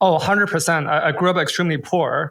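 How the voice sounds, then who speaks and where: Speaking with a Chinese accent, this voice moves at a fairly quick pace with ordinary pitch variation. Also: man. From China, then French Canada as a teen. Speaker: crypto investor and entrepreneur. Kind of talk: interview. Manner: repetitive false starts.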